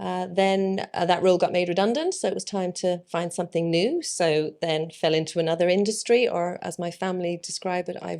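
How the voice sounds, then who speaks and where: A woman with an Irish accent talks at a fairly quick pace, barely pausing, her fairly low voice held in a flat monotone. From Ireland, Dublin. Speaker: plant business owner. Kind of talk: interview. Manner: casual with frequent fillers.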